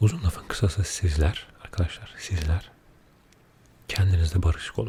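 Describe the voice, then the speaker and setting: A soft-spoken man with a very deep, low voice, a calm tone and fairly even intonation. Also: moderate pace. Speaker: ASMR creator. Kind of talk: casual talk to camera, ASMR chat. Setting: studio microphone, binaural. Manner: soft-spoken, calm.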